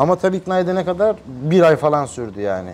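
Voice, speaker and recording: Moving at a fairly quick pace, a man talks in a fairly high pitch with very wide pitch swings. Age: 30s. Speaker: massage youtuber. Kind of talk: interview.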